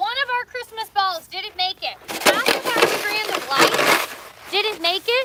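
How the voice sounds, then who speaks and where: In a Canadian accent, a raised, projected voice talks fairly slowly with an animated tone and very wide pitch swings, with noticeable background noise behind it. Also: woman. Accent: Canadian, compared to Minnesotan. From Canada. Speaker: coffee shop owner and livestreamer. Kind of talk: casual livestream chat. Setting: outdoors.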